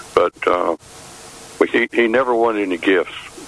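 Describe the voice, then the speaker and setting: With noticeable background noise around him, a male speaker talks in an American accent. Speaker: caller. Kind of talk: casual chat.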